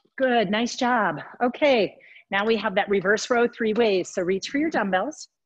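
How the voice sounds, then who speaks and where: This woman has an unremarkable speaking voice with a fairly high pitch. Her intonation is lively and her pace moderate. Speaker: fitness instructor. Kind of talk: guided workout class. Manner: encouraging.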